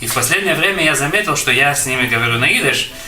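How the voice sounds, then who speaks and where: Music plays behind a man speaking. The room echo is audible. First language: Yiddish (speaking Russian). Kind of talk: interview. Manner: hesitant, with fillers.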